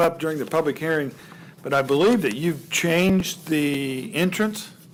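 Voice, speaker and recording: A high-pitched man speaks at a moderate pace with ordinary pitch variation against noticeable background noise. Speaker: board chair. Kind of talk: public meeting chairing. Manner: loud.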